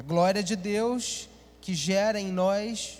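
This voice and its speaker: A man with a high pitch. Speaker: pastor. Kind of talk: sermon. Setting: church.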